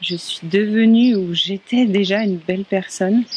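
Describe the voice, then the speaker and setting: Noticeable background noise sits under a woman's voice. She speaks at a very slow pace with fairly even intonation. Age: 30s. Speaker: workshop participant. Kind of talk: testimony.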